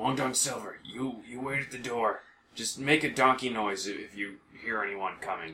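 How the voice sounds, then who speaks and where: A man does a put-on character voice that is raspy and set at a medium pitch. His pace is moderate. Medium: actual play. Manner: excitable, brash.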